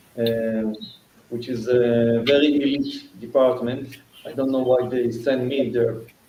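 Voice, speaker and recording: A man's medium-pitched, monotone, flat delivery at a fairly slow pace, with noticeable background noise and audible room echo. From Israel. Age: 60s. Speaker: fire case attorney and fire investigator. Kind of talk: interview. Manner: halting.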